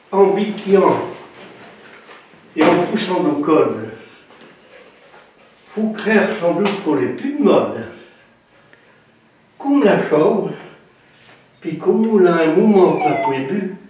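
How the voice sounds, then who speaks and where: Over noticeable background noise, a man with a high pitch talks at a very slow pace, leaving long and frequent pauses. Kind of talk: dialect folk tale telling.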